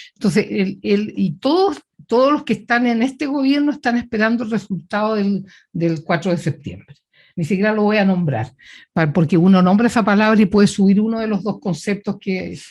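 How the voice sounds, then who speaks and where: On a very clean recording with a silent background, a woman's somewhat breathy, medium-pitched voice moves at a moderate pace with lively intonation. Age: 70s. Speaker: politician and physician. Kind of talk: interview.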